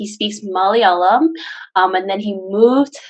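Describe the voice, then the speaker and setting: Speaking with a Canadian accent, a woman uses lively intonation at a medium pitch. Her pace is fairly slow. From Canada, Brampton, Ontario. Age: 20s. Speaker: guest on relationship show. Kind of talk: casual interview chat. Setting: call. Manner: hesitant, many fillers.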